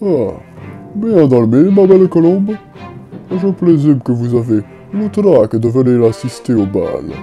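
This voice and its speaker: A man's put-on character voice, fairly high in pitch and at a fairly slow pace, over clear music in the background. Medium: audio drama. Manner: suave, condescending.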